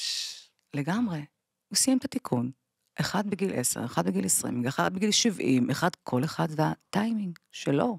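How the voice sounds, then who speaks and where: A woman's fairly low-pitched voice with vocal fry and very wide pitch swings, at a fairly slow pace, dry with no echo against a quiet background. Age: 40s. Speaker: bereaved mother; podcast guest. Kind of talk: testimony. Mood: grave, emotional storytelling. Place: studio. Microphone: studio mic.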